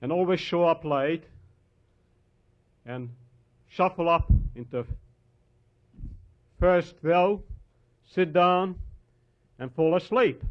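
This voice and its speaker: Speaking at a very slow pace, a man with a Hungarian accent has a fairly high pitch and ordinary pitch variation. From Hungary. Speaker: historian and author. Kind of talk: lecture.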